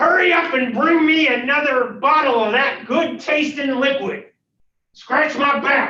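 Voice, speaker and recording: A high-pitched, put-on character voice moves at a fairly slow pace. A slight echo can be heard. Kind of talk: commanding. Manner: mean, gruff.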